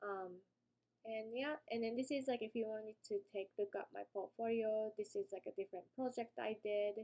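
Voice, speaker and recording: This woman's fairly high voice has a dark, mellow tone and fairly even intonation, moving at a moderate pace in a dry, close sound with no echo. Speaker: UX designer. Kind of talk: casual tutorial talk. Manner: hesitant, many fillers.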